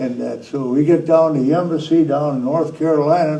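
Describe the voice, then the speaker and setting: With an Upper Midwest accent, a man speaks at a moderate pace in a fairly high pitch with a dark, mellow tone. His intonation is fairly even, and there is audible room echo. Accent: Upper Midwest American. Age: 90s. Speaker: war veteran. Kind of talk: interview. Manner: halting.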